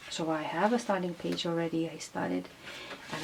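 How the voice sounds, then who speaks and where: Noticeable background noise sits behind a woman with a non-native accent. Her pitch varies in an ordinary way. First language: not English. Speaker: craft tutorial host. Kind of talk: tutorial. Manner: halting, many fillers.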